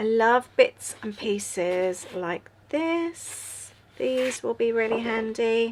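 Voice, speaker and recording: A woman with an English accent, fairly high pitch, lively intonation, and a very slow pace. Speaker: journaling YouTuber. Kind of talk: casual craft tutorial chat. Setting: at home, late night. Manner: yawning, relaxed.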